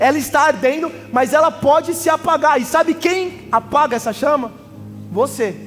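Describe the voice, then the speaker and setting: Over noticeable background noise, a man talks at an extremely high pitch with ordinary pitch variation. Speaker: pastor. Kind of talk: sermon. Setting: church. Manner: fast.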